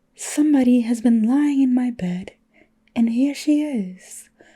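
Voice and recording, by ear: This woman uses a put-on character voice. Her pitch sits high. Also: fairly slow pace.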